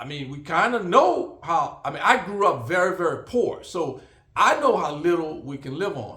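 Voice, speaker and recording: Speaking at a moderate pace with lively intonation, a man with a high-pitched voice is heard in a room with audible echo. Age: 60s. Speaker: vlogger. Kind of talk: casual monologue. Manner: halting, many fillers.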